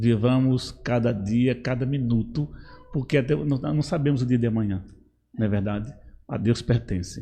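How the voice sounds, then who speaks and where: Over a quiet background, a man speaks at a medium pitch with ordinary pitch variation. His tone is dark and mellow and somewhat breathy. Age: 60s. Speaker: pastor. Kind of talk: advice talk in church podcast.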